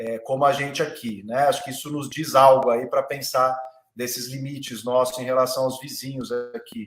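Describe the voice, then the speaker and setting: A man with a normal speaking voice, medium pitch and fairly even intonation, at a moderate pace. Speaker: lawyer and law professor. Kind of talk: online panel discussion.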